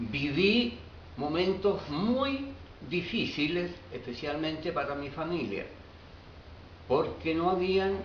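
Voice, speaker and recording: Amid noticeable background noise and audible room echo, a man with a fairly high pitch and lively intonation speaks very slowly with long, frequent pauses. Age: 80s+. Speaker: interviewee, eyewitness. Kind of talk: interview answers.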